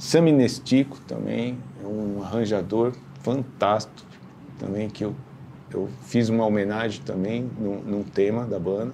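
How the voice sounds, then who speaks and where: With audible room echo, a man talks at a fairly slow pace in a fairly low pitch with ordinary variation. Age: 50s. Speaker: big band leader and arranger. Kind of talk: interview. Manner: halting, repeats words.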